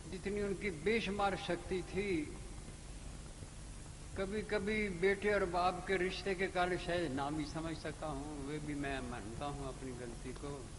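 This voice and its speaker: A high-pitched man's voice with ordinary pitch variation and audible room echo. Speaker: spiritual teacher. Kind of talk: sermon.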